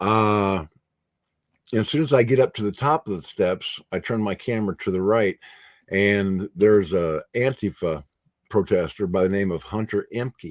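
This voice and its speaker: On a very clean recording with a silent background and a dry, close sound with no echo, a man with a plain, everyday voice speaks at a moderate pace, his fairly low pitch showing ordinary pitch variation. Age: 60s. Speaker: journalist and publisher. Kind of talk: interview on live stream.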